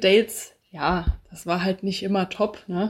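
Recorded very cleanly against a silent background, a woman has an ordinary speaking voice at a medium pitch with ordinary pitch variation. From Hesse, Bad Homburg near Frankfurt. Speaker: podcast guest, receptionist and student. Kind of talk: casual interview.

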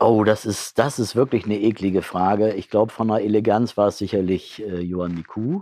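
A man's fairly low voice, dark and mellow in tone, with fairly even intonation and a fairly quick pace. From northern Germany, Bremen area. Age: 60s. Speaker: football club president. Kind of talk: interview. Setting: stadium catacombs.

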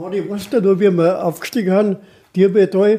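Male speech, high in pitch, dark and mellow in tone. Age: 80s. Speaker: retired mountaineer, expedition veteran. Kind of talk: storytelling interview.

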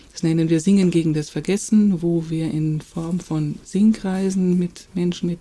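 A woman speaks at a moderate pace with a fairly low pitch. Noticeable background noise sits behind her. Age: 50s. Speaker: nonprofit founder. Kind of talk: podcast interview.

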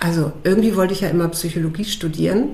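Audible room echo surrounds the voice. Its intonation stays fairly even. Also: woman. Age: 50s. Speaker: coach and nature therapist, former TV journalist. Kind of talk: casual interview.

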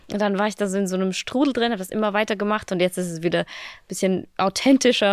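A woman at medium pitch with ordinary pitch variation, very fast pace, dry close sound with no echo, and a very clean recording with a silent background. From Austria, small village. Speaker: fitness creator. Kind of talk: casual interview. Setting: studio.

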